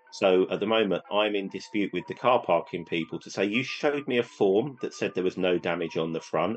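Music plays in the background while a man with a fairly low pitch talks with hardly any pauses. His pitch variation is ordinary. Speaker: travel agent and Disney podcaster. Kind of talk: casual chat.

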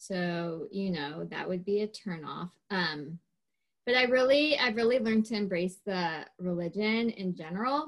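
Intonation is lively, the pace fairly slow. It is an unremarkable speaking voice. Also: woman, medium pitch for a woman. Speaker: temple communications coordinator and preschool assistant. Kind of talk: casual interview chat.

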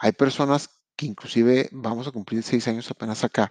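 Here is a plain, everyday voice from a man at a medium pitch and moderate pace. The background is quiet, and the sound is dry and close with no echo. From Monterrey, Mexico. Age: 30s. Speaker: podcast host. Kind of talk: motivational monologue. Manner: conversational.

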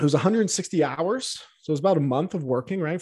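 A man's dark, mellow voice on a very clean recording with a silent background. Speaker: business consultant and podcaster. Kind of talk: casual interview.

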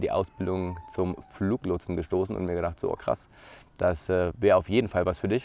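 At a moderate pace, a man speaks with fairly even intonation in an unremarkable speaking voice. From Brandenburg, eastern Germany. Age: 30s. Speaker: YouTuber, former air traffic controller. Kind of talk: vlog self-introduction. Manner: casual with frequent filler words.

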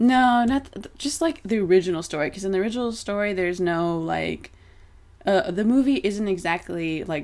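A woman speaks at a moderate pace in an ordinary speaking voice, her medium pitch carried by lively intonation. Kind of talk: casual movie review chat.

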